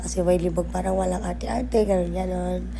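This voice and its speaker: Noticeable background noise runs under this clip. A woman speaks fairly quickly. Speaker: vlogger. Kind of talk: vlog voice-over narration. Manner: casual, chatty; stumbling over words.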